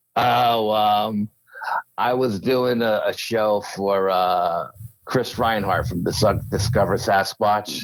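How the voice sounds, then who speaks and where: In a strong Bronx accent, the speaker goes at a very slow pace with fairly even intonation. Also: man, fairly low pitch for a man. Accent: heavy Bronx New York. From Yonkers, New York. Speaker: paranormal researcher. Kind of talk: interview. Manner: casual, with fillers.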